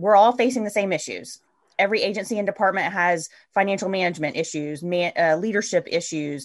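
A woman speaks in an ordinary speaking voice at medium pitch and a fairly quick pace, with ordinary pitch variation over a quiet background. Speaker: podcast host. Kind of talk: casual interview conversation.

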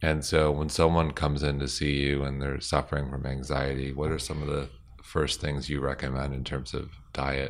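The voice moves at a moderate pace with hardly any pauses, holding a monotone, flat intonation with vocal fry. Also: man, very deep, low pitch for a man. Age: 40s. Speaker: podcast host and company founder. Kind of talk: casual interview.

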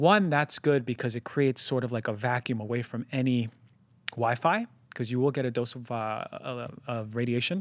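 A man speaks at a medium pitch, his pitch varying in an ordinary way. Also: dry, close sound with no echo, quiet background. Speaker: podcast host; doctor. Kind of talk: health podcast monologue and interview. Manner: fast; animated.

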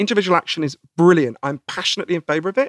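In a British accent, a man with a fairly high voice talks at a very fast pace with lively intonation. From Britain. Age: 40s. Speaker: author. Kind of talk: interview.

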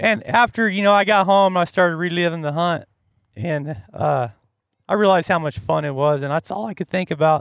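A high-pitched man at a fairly quick pace on a very clean recording with a silent background. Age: 40s. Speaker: hunting guide in Alaska. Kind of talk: casual chat. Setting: outdoors at a campsite.

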